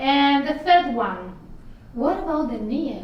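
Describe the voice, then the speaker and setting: A high-pitched woman speaks with ordinary pitch variation amid audible room echo and noticeable background noise. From Italy. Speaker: travel vlogger. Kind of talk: interview.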